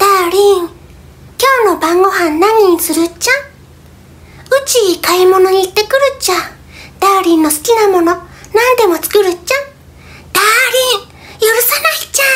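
A man's put-on character voice at an extremely high pitch, with long, frequent pauses. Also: moderate pace.

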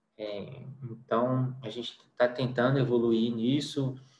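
A man speaks with monotone, flat intonation. Audible room echo is present. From Brazil, interior of Minas Gerais. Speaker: radiation oncologist. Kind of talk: lecture. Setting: online lecture with slides. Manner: hesitant, with repetitions. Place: home room. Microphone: webcam.

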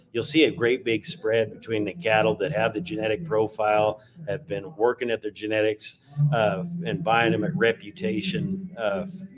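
A man's lively intonation and moderate pace come through over noticeable background noise. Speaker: livestock auctioneer. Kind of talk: interview answer. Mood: upbeat, confident. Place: office. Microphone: webcam.

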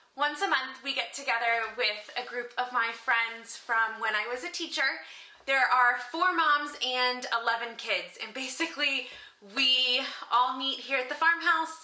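A raised, projected voice at a fairly slow pace, with ordinary pitch variation and audible room echo. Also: woman. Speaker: home cook vlogger. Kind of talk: casual vlog chat. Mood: cheerful and upbeat. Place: kitchen. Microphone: phone near.

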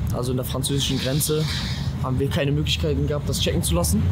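Loud background noise under a man's speech. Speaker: vlogger. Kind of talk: casual vlog chat.

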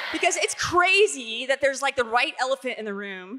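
A woman speaks in an animated tone with very wide pitch swings. The background is quiet. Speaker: youth speaker; speaker. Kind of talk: panel Q&A at a conference. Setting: stage with audience. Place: stage. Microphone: handheld.

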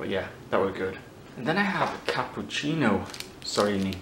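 There is noticeable background noise behind a man talking at a fairly quick pace. His pitch varies in an ordinary way. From Ireland and the UK. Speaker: YouTuber, food taster; YouTuber. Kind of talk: casual vlog, taste test. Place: home room.

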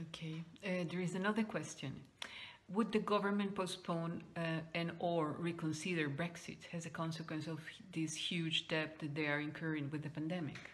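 This woman's fairly low voice is somewhat breathy, moving at a moderate pace with fairly even intonation. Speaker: nonprofit event host. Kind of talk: moderated Q&A. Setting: video call. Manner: halting.

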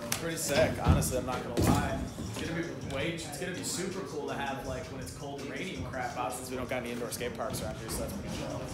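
Clear music plays behind audible room echo. The speech runs at a very fast pace with ordinary pitch variation. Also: man. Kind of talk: casual vlog chat. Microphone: phone near.

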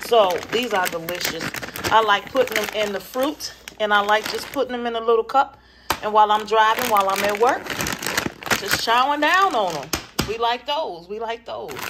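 Over noticeable background noise, a woman talks at a moderate speed. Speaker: home vlogger. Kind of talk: casual vlog chat. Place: kitchen. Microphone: phone near.

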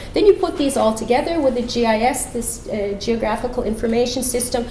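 Audible room echo and light background noise surround a woman who talks fairly quickly in a high voice. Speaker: climate policy researcher and professor. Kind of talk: conference talk. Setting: conference room with audience. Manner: fast talker. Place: hall.

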